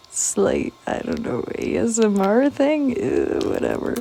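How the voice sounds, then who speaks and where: Very slowly and softly, a woman speaks against noticeable background noise. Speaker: artist and video creator. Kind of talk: casual ASMR-style art narration. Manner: quiet, soft-spoken; hesitant, many fillers.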